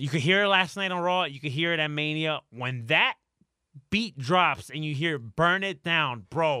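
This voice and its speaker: Animated and bright with a sharp tone, a man speaks at a moderate pace in a fairly high voice with ordinary pitch variation. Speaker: podcast co-host. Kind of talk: casual banter.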